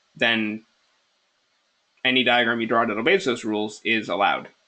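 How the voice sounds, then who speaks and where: A man's medium-pitched voice at a fairly quick pace, broken by long, frequent pauses. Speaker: LSAT tutor. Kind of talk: webinar lecture. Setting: online webinar. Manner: fast; casual, filler-heavy.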